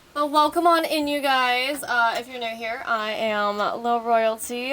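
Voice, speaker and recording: A woman speaks at a fairly slow pace in a raised, projected voice, her pitch high with ordinary variation, over noticeable background noise. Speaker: esports caster. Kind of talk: live game commentary. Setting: live stream at home. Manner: animated.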